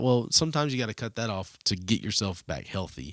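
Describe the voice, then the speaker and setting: Over a silent background in a very clean recording, a man with a Southern US accent talks at a fairly quick pace, his pitch swinging very widely. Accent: Southern US accent, still holds it. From US South. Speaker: student ministry leader. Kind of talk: casual podcast chat.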